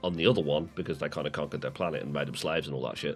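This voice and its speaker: With music playing in the background, a man talks with a British accent. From UK. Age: 30s. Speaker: podcast co-host. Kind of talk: casual chat. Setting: live stream podcast. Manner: animated.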